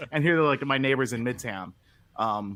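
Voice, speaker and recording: Using a Philadelphia accent, a man talks at a moderate pace. His pitch is medium and his intonation lively. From Philadelphia, Pennsylvania. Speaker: podcast co-host. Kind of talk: casual chat.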